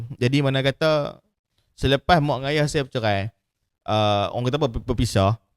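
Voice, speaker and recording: The sound is dry and close with no echo. A man talks at a fairly quick pace in a medium pitch, with ordinary pitch variation. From Malaysia, Kedah. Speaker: podcast host, printing business owner. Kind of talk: casual chat.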